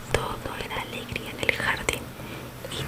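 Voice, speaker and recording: A woman whispering at a fairly slow pace, with noticeable noise in the background. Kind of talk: ASMR bedtime story reading. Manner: whispered, soft-spoken.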